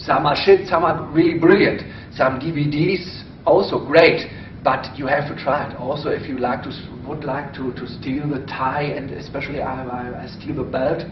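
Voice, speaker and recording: A voice with a German accent speaks at a moderate pace with fairly even intonation and big swings in loudness, amid audible room echo and noticeable background noise. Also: man, fairly high pitch for a man. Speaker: stage pickpocket performer. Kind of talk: interview. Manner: halting.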